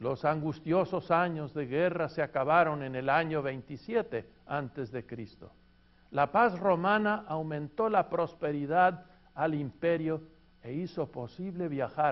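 This man's pitch sits fairly high, with ordinary variation. He speaks very slowly. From Argentina. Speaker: pastor and seminary teacher. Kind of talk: lecture.

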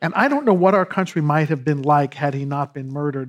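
A man speaks in a normal speaking voice with a fairly high pitch and ordinary pitch variation. The recording is very clean, with a silent background. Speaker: historian and panel moderator. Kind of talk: moderated panel discussion. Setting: stage with audience.

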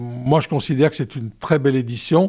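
The speaker is a man with a medium pitch. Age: 60s. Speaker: demographer and research director. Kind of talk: radio interview. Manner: hesitant, with many fillers.

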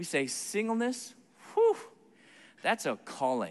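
A man's extremely high-pitched voice at a moderate pace. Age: 40s. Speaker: Bible teacher and speaker. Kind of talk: sermon.

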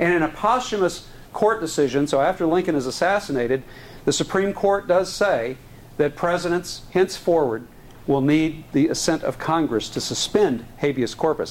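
In an American accent, a man with an ordinary speaking voice talks at a moderate pace and fairly high pitch, his intonation lively and his loudness very even. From Texas (Houston). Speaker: historian lecturer. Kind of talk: lecture.

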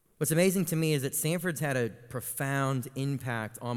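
A man with an American accent speaks in a plain, everyday voice. His pace is moderate and his pitch varies in an ordinary way. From Florida, Tallahassee. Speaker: youth pastor. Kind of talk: sermon.

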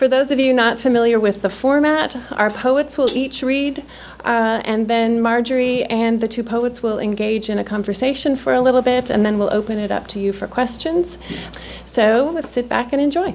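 Against noticeable background noise, a woman talks at a moderate pace in a fairly high pitch, with ordinary pitch variation. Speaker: event host. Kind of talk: formal introduction. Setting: stage with audience.

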